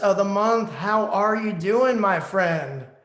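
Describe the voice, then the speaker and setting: A man's high-pitched voice with an American accent, ordinary pitch variation, audible room echo and noticeable background noise. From New Jersey, US. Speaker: online radio show host. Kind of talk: casual interview.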